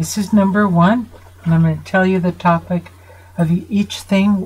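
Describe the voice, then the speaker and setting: A woman speaks at a fairly slow pace in a fairly low voice with fairly even intonation, and there's noticeable background noise. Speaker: psychotherapist. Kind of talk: video lecture to viewers. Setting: home studio. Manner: earnest, emphatic.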